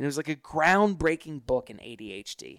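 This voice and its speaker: A man's voice with an American accent and ordinary pitch variation, dry and close with no echo, on a very clean recording with a silent background. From US South, Hilton Head Island, South Carolina. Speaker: author and gratitude speaker. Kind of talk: interview. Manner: halting, many fillers.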